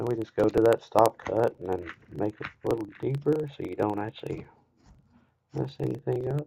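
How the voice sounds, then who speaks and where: A man with a Kentucky accent at a moderate pace, dark and mellow in tone with vocal fry and lively intonation, in a dry, close sound with no echo. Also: medium pitch for a man. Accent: Kentucky Southern. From US South, rural Kentucky. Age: 20s. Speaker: woodcarver streamer. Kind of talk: live stream tutorial. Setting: live stream.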